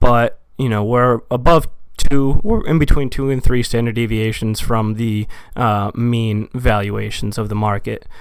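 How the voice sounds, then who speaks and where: A medium-pitched man talks at a fairly slow pace with fairly even intonation. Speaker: amateur market commentator. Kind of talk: casual explanatory talk on market data. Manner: hesitant, many fillers.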